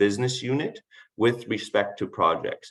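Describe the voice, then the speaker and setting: Here a man talks at a medium pitch. His pace is moderate and his pitch varies in an ordinary way. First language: not English. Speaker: municipal project management officer. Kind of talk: conference Q&A answer. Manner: halting, with self-corrections.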